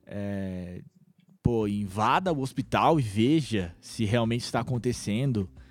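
An unremarkable speaking voice, this man's sits at medium pitch, moving at a fairly slow pace with lively intonation. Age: 20s. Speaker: podcast host. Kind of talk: casual chat.

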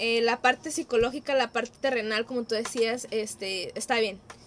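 A woman speaks with a high pitch in a Mexican accent. Noticeable background noise runs behind her. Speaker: psychologist. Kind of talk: casual chat.

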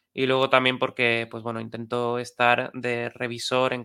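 A monotone voice with flat intonation and a bright, sharp tone. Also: man. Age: 40s. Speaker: AI company CEO. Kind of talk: interview.

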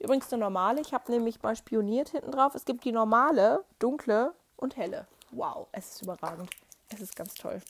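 Speaking in a normal speaking voice at a fairly quick pace, a woman with a fairly high pitch uses lively intonation and big swings in loudness. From Germany, not Swabia. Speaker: podcast host. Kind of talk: casual monologue. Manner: chatty, many fillers.

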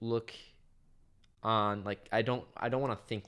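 At a moderate pace, a man with a Midwestern American accent speaks at a fairly low pitch with ordinary pitch variation. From Kansas, US. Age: 20s. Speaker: college student and dorm RA. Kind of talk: casual chat.

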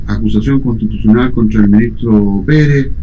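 A man's fairly low-pitched voice, with audible room echo. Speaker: radio host. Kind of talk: radio interview. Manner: halting.

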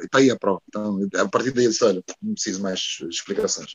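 A man speaks at a very fast pace. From Angola (Luanda), also Porto. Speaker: singer-songwriter. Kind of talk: interview. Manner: halting.

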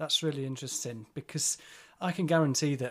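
A man talks with a Yorkshire accent. His intonation stays fairly even. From Yorkshire, England. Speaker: podcast host. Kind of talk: casual interview. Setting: video call.

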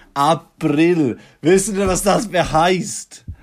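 A man talks at a very slow pace in a high pitch. His pitch varies in an ordinary way. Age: 20s. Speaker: podcast host. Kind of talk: casual monologue.

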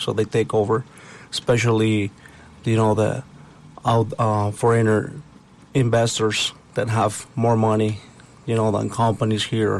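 Speaking with a Spanish accent in a medium pitch, a man talks at a fairly slow pace with monotone, flat intonation, very even loudness, and long, frequent pauses. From Puebla, Mexico. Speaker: construction company partner. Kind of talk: interview.

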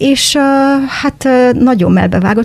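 There is noticeable background noise in the clip. A woman talks over it. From Transylvania, Cluj (Romania), Hungarian-speaking. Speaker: school teacher. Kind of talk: casual interview.

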